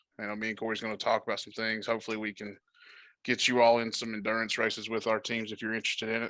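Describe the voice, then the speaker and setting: Speaking very fast at a medium pitch, a man has a bright, sharp tone on a very clean recording with a silent background. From southwest Virginia. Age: 20s. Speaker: sim racing team member, new podcast guest. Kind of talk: casual chat.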